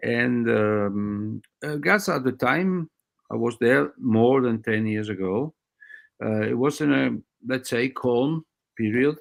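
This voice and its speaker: With a non-native accent, a man speaks at a very slow pace, leaving long, frequent pauses. His pitch is medium and his intonation lively. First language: not English. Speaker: doctor. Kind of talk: interview. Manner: halting.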